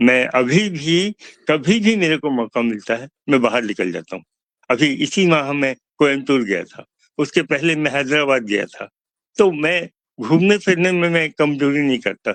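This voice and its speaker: An ordinary speaking voice with lively intonation. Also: man. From Chhattisgarh, India (Bilaspur). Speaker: author. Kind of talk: interview.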